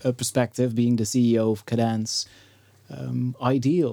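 A man talks at a fairly slow pace. His medium-pitched voice has a dark, mellow tone. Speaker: podcast host. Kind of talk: interview conversation. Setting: studio.

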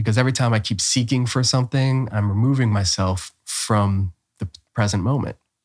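In a very clean recording with a silent background and a dry, close sound with no echo, a man with a Midwestern American accent speaks fairly quickly at a fairly low pitch. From Ohio, Cleveland. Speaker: spiritual teacher. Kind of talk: casual chat.

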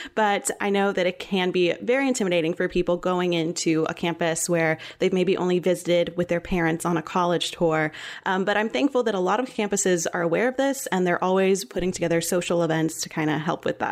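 A woman with a normal speaking voice talks fairly quickly with hardly any pauses. Her pitch is fairly low with ordinary variation, and her loudness stays very even. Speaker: student podcast host. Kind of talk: casual chat.

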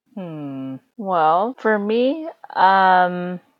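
A woman with lively intonation on a very clean recording against a silent background. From USA, adopted from China. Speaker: podcast guest, international adoptee. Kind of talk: casual chat.

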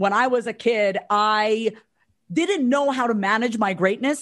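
A woman's ordinary speaking voice, fairly high in pitch, at a fairly slow pace with ordinary pitch variation and a quiet background. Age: 30s. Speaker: mindset coach and therapist. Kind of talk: interview.

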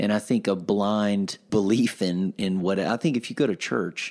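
Speaking with a South Carolina accent, a man uses a fairly low pitch and lively intonation in a very clean recording with a silent background. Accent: Southern US (South Carolina). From US South, upstate South Carolina (Pelzer). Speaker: pastor. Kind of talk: casual chat.

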